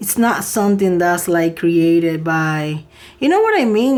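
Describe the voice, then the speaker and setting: A woman at medium pitch talks fairly slowly, her pitch varying in an ordinary way. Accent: non-native. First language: not English. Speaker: tarot reader. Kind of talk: tarot reading. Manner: soft-spoken.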